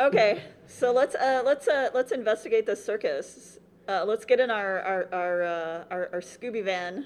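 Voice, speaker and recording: A woman speaks in a plain, everyday voice, pitched fairly high, against a quiet background. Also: ordinary pitch variation, moderate pace. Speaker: tabletop roleplaying game player, podcast cast member. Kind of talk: live panel recording of a roleplaying game, casual and playful. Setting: stage with audience at a convention.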